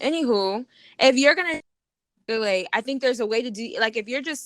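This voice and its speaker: A woman speaks loudly and fairly quickly with an American accent. Her high-pitched voice has a bright, sharp tone. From New York. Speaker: podcast co-host. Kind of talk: casual argument between co-hosts.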